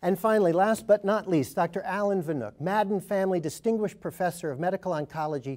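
Against a quiet background, the voice moves at a very fast pace. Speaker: panel moderator. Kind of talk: formal program introduction. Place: studio.

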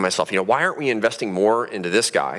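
A fairly low-pitched male voice. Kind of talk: public talk. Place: stage. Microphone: headset.

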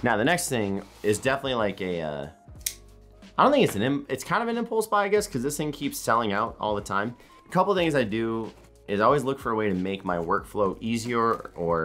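Faint music plays behind a man who speaks at a moderate pace with long, frequent pauses. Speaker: content creator. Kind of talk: casual vlog chat. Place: home room.

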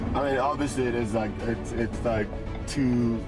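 Speech at a moderate pace over clear background music. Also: man. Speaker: guest. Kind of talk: interview answer. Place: car.

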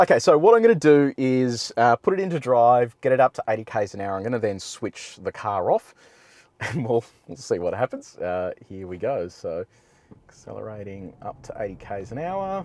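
A man speaks at a moderate pace with big swings in loudness. The sound is dry with no echo, and the background is quiet. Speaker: car reviewer. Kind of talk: commentary. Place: car. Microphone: lapel.

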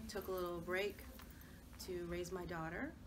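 A woman's fairly low, monotone voice with flat intonation, amid noticeable background noise. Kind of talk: casual group conversation. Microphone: camera far.

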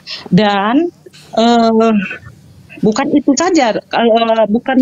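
A woman's fairly high voice with ordinary pitch variation over noticeable background noise. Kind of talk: debate. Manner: halting.

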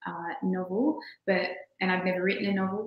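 Heard with audible room echo, a woman of medium pitch speaks at a moderate pace in an Australian accent. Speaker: poet and children's author; poet. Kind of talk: presentation. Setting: video call. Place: home room.

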